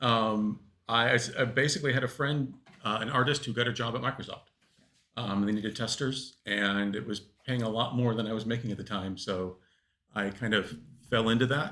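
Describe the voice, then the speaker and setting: The man's voice sits at a medium pitch, with a bright, sharp tone. He talks at a fairly quick pace with fairly even intonation. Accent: Californian. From California, US. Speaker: lead game designer. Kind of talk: panel interview. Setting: stage with live audience.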